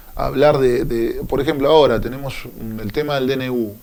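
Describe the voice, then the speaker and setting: With a Buenos Aires province accent, a man talks at a moderate pace amid noticeable background noise and audible room echo. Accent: Olavarría accent (Buenos Aires province). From Argentina, Olavarría (Buenos Aires province). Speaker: union leader. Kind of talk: radio interview.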